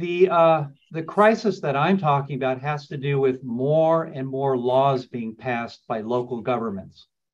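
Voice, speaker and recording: A man with an American accent uses a normal speaking voice, fairly high in pitch with ordinary pitch variation. He talks at a fairly slow pace with hardly any pauses against a quiet background. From New York, raised partly in Los Angeles. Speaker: landlord attorney. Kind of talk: webinar lecture. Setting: Zoom webinar. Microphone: video call.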